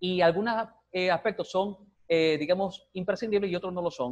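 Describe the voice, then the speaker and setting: High male pitch, its variation ordinary. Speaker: lawyer, former ombudsman office director. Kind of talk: TV interview. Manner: fast.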